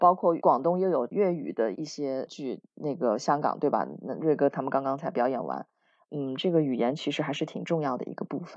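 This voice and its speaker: Talking at a fairly quick pace, a woman with a very deep, low pitch uses lively intonation. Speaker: theatre actor and former TV host. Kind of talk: interview chat.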